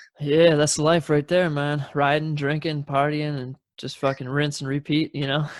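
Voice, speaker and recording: A man with an American accent, fairly high-pitched and monotone, flat in intonation, at a moderate pace in a dry, close sound with no echo. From Wisconsin, southern end near Illinois. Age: 30s. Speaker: podcast host. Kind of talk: casual chat.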